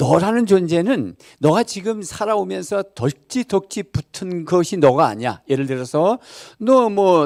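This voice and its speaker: The man has a high pitch and an animated tone, with very wide pitch swings. The recording is very clean and the background silent. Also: dry, close sound with no echo. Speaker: pastor. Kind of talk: sermon. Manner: conversational, animated.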